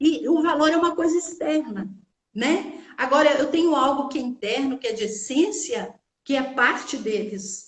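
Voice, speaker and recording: A woman with an interior Minas Gerais accent speaks at a fairly slow pace in a high voice with lively intonation. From Brazil, interior of Minas Gerais. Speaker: teacher and therapist. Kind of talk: casual chat.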